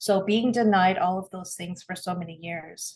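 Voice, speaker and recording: A woman talks at a medium pitch and a moderate pace. Her voice is somewhat breathy. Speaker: spiritual podcast co-host, earth-based medicine practitioner. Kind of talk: casual conversation.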